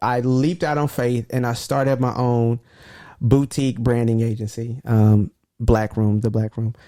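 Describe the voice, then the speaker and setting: Recorded very cleanly against a silent background, with a dry, close sound and no echo, a man speaks at a medium pitch in a dark, mellow tone. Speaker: podcast co-host, entrepreneur. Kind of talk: casual chat. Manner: fast when excited.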